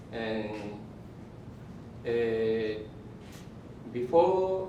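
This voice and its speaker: Amid noticeable background noise and audible room echo, a man of medium pitch speaks with a Japanese accent and ordinary pitch variation. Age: 70s. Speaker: tea master. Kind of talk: seminar presentation. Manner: halting.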